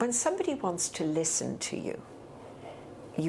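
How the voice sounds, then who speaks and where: A woman speaks with a Dublin accent. Her pitch swings very widely, and the room echo is audible. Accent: Dublin Irish. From Ireland, Dublin (Rathfarnham). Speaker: retired teacher and heritage guide. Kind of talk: oral history interview. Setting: filmed interview.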